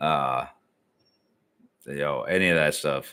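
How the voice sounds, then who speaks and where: A man with a Midwestern US accent speaks in a bright, sharp, relaxed tone, his pitch varying in an ordinary way. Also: very clean recording, silent background. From Ohio, Cleveland area. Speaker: YouTube reaction streamer. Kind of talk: casual live stream chat. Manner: relaxed, conversational.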